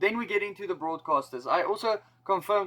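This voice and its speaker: Here a man speaks in a South African accent at a moderate pace. His pitch varies in an ordinary way. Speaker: rugby YouTuber. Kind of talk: casual explainer video. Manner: casual.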